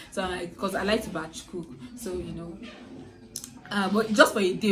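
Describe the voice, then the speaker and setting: A woman at a fairly low pitch and fairly quick pace, with ordinary pitch variation, audible room echo, and noticeable background noise. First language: a native language other than English. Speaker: student YouTuber. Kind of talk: casual vlog talk to camera. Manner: halting, many fillers and restarts.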